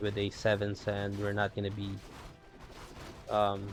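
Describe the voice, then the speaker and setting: With music in the background, the voice moves at a very slow pace in a monotone, flat intonation. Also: man. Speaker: gaming commentator. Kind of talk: game commentary. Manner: casual, hesitant.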